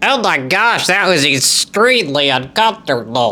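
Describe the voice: In a put-on character voice, a man speaks fairly high with very wide pitch swings. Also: moderate pace.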